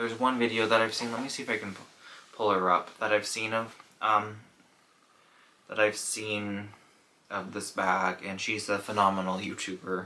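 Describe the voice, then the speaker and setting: Over noticeable background noise, a man talks at a moderate pace in a fairly low voice with monotone, flat intonation. His loudness swings widely, and he takes long, frequent pauses. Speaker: fashion YouTuber reviewing handbags. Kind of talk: casual product review vlog. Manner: slurring words; hesitant, many fillers.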